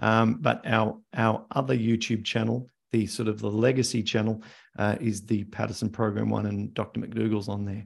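The speaker talks at a moderate pace in an Australian accent, with vocal fry. The intonation is monotone and flat. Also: man, fairly low pitch for a man. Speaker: arthritis health educator. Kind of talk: live Q&A interview. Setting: video call.

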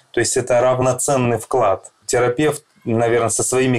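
A man talks at a moderate pace in an ordinary speaking voice. His intonation is fairly even. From Russia, Krasnodar. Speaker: psychologist. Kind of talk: interview.

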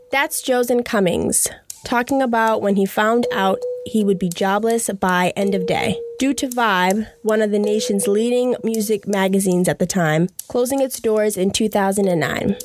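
Over noticeable background noise, a woman with a fairly high pitch speaks at a moderate pace, her loudness very even and her pitch varying in an ordinary way. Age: 20s. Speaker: podcast host. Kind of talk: interview; scripted narration.

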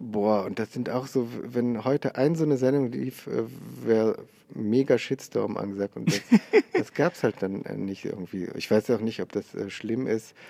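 Here a man talks at a fairly slow pace in a medium pitch. His intonation is fairly even and his tone dark and mellow. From Oberbergisches Land near Cologne, Germany. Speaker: comedian. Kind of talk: casual chat. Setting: large theatre hall.

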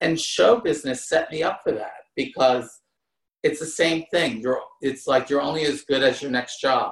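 An ordinary speaking voice from a man with an American accent, fairly high in pitch, lively in intonation, at a moderate pace. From US Northeast, New Jersey. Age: 50s. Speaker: former show dancer. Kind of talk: casual interview.

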